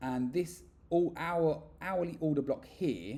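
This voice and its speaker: A man speaks in a British accent with a dark, mellow tone. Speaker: forex trader and trading educator. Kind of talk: screen-share tutorial. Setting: away from home, makeshift recording. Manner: fast; hesitant, with repeated words and fillers. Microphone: poor audio, makeshift mic setup.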